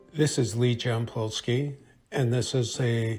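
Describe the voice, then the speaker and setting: A man speaks at medium pitch with monotone, flat intonation. Music plays in the background. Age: 60s. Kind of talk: reading aloud.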